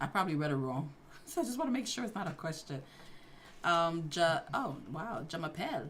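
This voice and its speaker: A woman talks at a moderate pace. Her fairly low pitch swings very widely. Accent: New York. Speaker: livestream host, IT certification study. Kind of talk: casual livestream Q&A.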